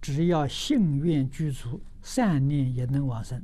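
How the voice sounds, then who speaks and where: A man speaks at a very slow pace with ordinary pitch variation. His dark, mellow tone is somewhat breathy. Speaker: Buddhist teacher answering questions. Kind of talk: sermon. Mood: calm, gently smiling. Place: studio.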